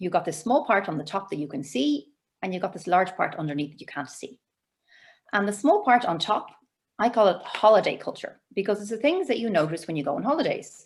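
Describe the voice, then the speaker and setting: Woman's medium-pitched voice in an Irish accent, fairly quick, with very wide pitch swings and big swings in loudness. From Ireland. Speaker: cross-cultural communication trainer. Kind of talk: webinar presentation. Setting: video call. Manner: animated.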